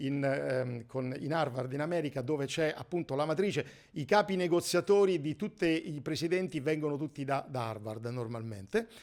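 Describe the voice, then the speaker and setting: Very wide pitch swings mark a man's speech. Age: 60s. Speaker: negotiation trainer. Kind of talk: course presentation. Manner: halting.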